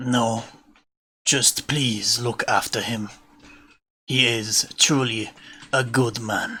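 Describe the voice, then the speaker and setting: A man speaks in a put-on character voice at a medium pitch, with flat, monotone intonation. His pace is very slow, broken by long, frequent pauses. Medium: actual play. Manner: measured, formal, kindly.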